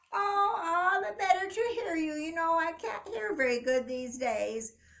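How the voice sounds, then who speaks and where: In a put-on character voice, a woman squeaks out her words at an extremely high pitch and a moderate pace. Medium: read story. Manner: sly, put-on sweetness.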